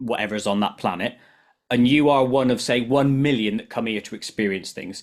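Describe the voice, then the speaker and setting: A man with a British accent, medium pitch and fairly even intonation at a fairly quick pace, in a very clean recording with a silent background. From UK. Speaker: podcast host. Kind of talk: interview.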